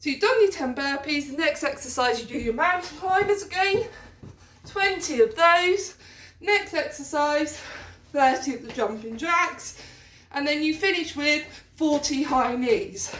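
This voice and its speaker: Amid audible room echo, a woman with a high voice speaks at a fairly slow pace with lively intonation. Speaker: PE teacher. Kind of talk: tutorial. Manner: instructive.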